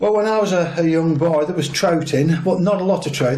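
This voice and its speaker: A man speaks with a Lancashire accent and a somewhat breathy quality. His pitch varies in an ordinary way. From northern England, Lancashire (Chorley area). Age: 60s. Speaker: angler and conservationist. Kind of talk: interview.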